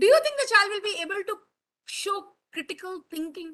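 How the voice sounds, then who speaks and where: A woman with a Bengali accent speaks in a raised, projected voice with a bright, sharp tone. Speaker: teacher trainer. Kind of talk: online teacher training talk, mixed English and Hindi. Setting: video call webinar.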